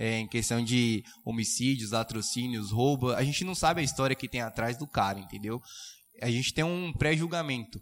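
Moderate pace, ordinary pitch variation, medium pitch and a normal speaking voice from a man. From Suzano, São Paulo state, Brazil. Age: young. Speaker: prep course student. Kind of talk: casual chat.

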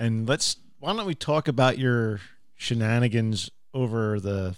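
On a very clean recording with a silent background, a man with an ordinary speaking voice talks at medium pitch and a moderate pace, using ordinary pitch variation. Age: 40s. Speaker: podcast host. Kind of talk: casual chat.

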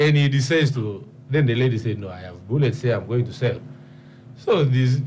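A somewhat breathy man at medium pitch speaks at a fairly quick pace, with ordinary pitch variation, big swings in loudness and audible room echo. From Uganda, Karamoja region (Karenga district). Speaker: member of parliament. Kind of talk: radio panel discussion. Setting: studio.

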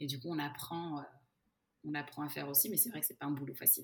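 Very deep and low in pitch, this woman's voice moves quickly. She speaks at a very fast pace. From Portugal and Brazil (Luso-Brazilian). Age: 30s. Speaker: head of customer success at a software company. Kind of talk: podcast interview.

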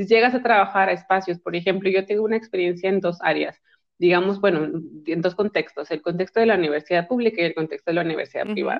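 At a very fast pace, a woman talks at medium pitch with ordinary pitch variation. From Mexico, Monterrey. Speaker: psychologist and sexologist. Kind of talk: casual chat.

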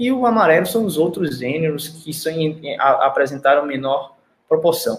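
Lively intonation marks this man's fairly high-pitched, unremarkable speaking voice, delivered at a moderate pace. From Paraíba, Northeast Brazil. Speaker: animal nutrition researcher. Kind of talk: technical presentation in live stream interview. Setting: online live stream.

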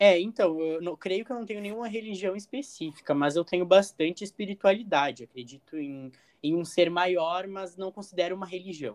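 Talking at a fairly quick pace, a man with a high pitch shows big swings in loudness. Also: ordinary pitch variation, hardly any pauses. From Rio Grande do Sul, Brazil (northwest interior). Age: 20s. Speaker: university student. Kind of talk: role-play medical consultation practice.

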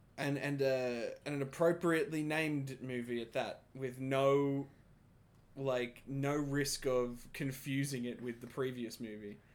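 A man speaks in a normal speaking voice, fairly high in pitch, with fairly even intonation and a fairly slow pace. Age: 20s. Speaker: podcast co-host. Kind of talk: casual chat.

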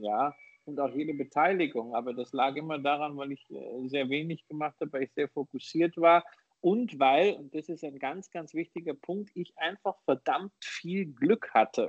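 This is a man with a fairly high voice and ordinary pitch variation. He has an ordinary speaking voice. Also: moderate pace. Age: 40s. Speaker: investor and author. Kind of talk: interview.

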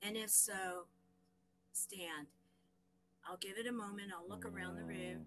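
Speaking with an American accent, a woman keeps a moderate pace broken by long, frequent pauses. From Southern US. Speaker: nonprofit founder. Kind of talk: interview. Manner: animated.

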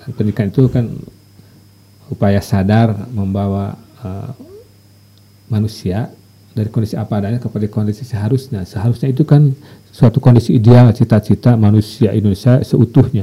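A man with a fairly low voice speaks at a moderate pace with fairly even intonation, leaving long, frequent pauses over noticeable background noise. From West Java, Sumedang. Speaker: university lecturer. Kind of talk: interview.

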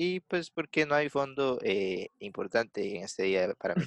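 A man speaks with a Costa Rican accent. The sound is dry and close, with no echo. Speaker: podcast host. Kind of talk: casual chat. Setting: video call. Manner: animated.

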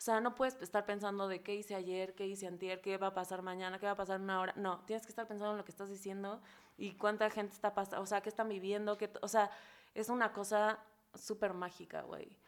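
This woman talks at a very fast pace. Her medium-pitched voice stays monotone and flat. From Mexico, Acapulco, Guerrero. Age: 30s. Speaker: comedian. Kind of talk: casual chat.

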